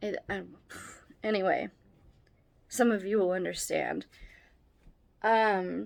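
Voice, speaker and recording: The recording is very clean with a silent background as a woman speaks at a very slow pace. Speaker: vlogger. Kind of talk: casual vlog talk. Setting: at home. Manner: halting, restarting sentences.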